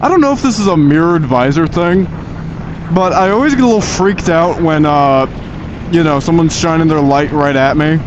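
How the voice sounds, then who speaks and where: A high-pitched man speaks at a fairly quick pace with lively intonation and very even loudness. Audible room echo and noticeable background noise fill the recording. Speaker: motovlogger. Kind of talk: casual monologue while riding. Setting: on a motorcycle at night. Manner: halting, many restarts.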